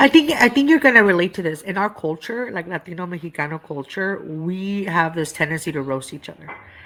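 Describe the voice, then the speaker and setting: A woman's fairly low voice, fairly quick with hardly any pauses, lively in intonation and big in loudness swings, over noticeable background noise. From East Los Angeles, Southern California. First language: Spanish. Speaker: comedian. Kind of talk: casual chat.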